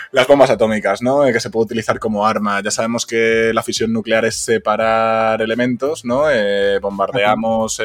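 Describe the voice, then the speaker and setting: Speaking at a fairly quick pace, a man uses an unremarkable speaking voice at a medium pitch. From Spain, Zamora (Castile). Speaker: podcast co-host. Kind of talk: casual chat.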